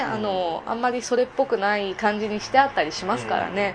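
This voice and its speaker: A woman talks at a fairly quick clip over noticeable background noise. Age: 20s. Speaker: escort and part-time entertainer. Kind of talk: casual interview.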